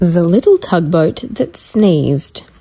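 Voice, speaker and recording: A woman with an Australian accent talks very slowly in a dark, mellow tone, her pitch swinging very widely. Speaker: children's story reader. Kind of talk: reading aloud.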